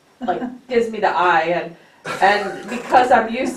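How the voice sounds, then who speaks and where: Amid noticeable background noise and audible room echo, a woman talks in an animated tone. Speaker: book study participant, retired teacher. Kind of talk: casual group discussion. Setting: church meeting room. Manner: loud.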